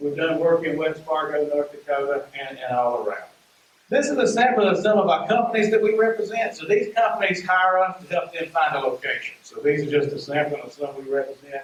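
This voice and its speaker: Over noticeable background noise, someone with a strong Southern US accent talks at a fairly quick pace with lively intonation. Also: man, high pitch for a man. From US South, rural Mississippi. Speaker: economic development consultant. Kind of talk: presentation to community meeting.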